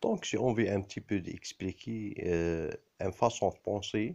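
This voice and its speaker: In a quiet background, a man with an Arabic accent speaks with ordinary pitch variation. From Algeria. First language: Arabic (speaking French). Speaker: video blogger. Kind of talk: personal monologue to camera. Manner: halting, many hesitations.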